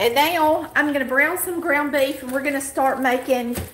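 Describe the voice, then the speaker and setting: A woman speaks in a Southern US accent with a high pitch. Audible room echo and light background noise surround her voice. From Polk County, Georgia. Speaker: home cook, cooking channel host. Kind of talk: live cooking tutorial talk. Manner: casual, folksy. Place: kitchen. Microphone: camera far.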